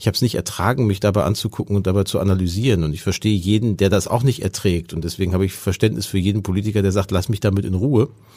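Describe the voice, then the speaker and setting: A man talks at a very fast pace in a fairly low voice with ordinary pitch variation. His tone is dark and mellow, in a very clean recording with a silent background. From Ruhr area, Germany. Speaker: politician and speechwriter. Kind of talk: interview. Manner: fluent free speech.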